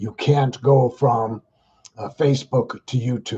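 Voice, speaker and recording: Somewhat breathy, a man speaks at a medium pitch with a dark, mellow tone and fairly even intonation. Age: 60s. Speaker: livestream vlogger, retired street worker. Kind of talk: casual livestream talk to viewers. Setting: livestream simulcast on Facebook and YouTube. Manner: halting, many fillers and repeats.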